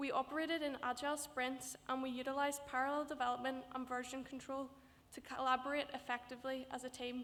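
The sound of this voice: With little pitch movement, a woman speaks at a high pitch in a fairly bright tone. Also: fairly quick pace.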